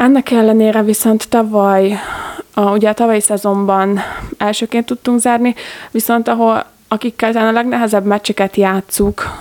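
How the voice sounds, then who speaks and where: This woman's voice sits fairly high in pitch and moves at a moderate pace. Her intonation is monotone and flat. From Hungary, Gödöllő. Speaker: handball player. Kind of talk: interview.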